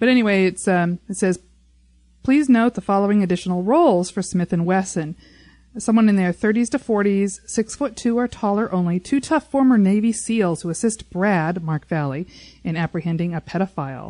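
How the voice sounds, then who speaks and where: At a moderate pace and medium pitch, a woman speaks with lively intonation. Hers is an unremarkable speaking voice, dry and close with no echo, over a quiet background. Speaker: podcast host. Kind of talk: casual chat. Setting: studio.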